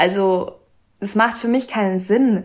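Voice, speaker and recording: A woman with an ordinary speaking voice at medium pitch, ordinary pitch variation and a moderate pace, on a very clean recording with a silent background. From Austria, Vienna. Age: young. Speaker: author and medical student. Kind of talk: casual interview.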